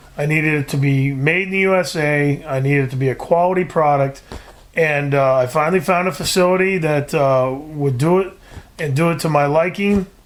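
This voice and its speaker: Over noticeable background noise, the speaker talks at a fairly quick pace with fairly even intonation. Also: man, fairly high pitch for a man. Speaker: trapper and outdoor TV producer. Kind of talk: podcast interview answer.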